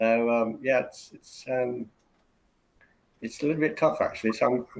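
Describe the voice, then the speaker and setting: A man speaks with an English accent. His loudness swings widely. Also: moderate pace. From England (Birmingham, Oxford). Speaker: university English teacher. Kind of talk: casual interview. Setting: live stream video call. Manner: hesitant, many fillers.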